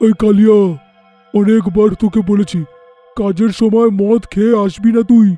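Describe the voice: A man does a cartoonish character voice, high-pitched with monotone, flat intonation and very even loudness, at a fairly slow pace over faint music in the background.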